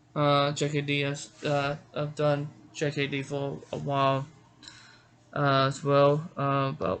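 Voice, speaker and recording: Amid noticeable background noise, a man with an American accent speaks very slowly in a fairly high voice with monotone, flat intonation. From Georgia, US South. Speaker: martial arts author and instructor. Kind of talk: casual personal introduction to camera. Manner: halting, many fillers and restarts.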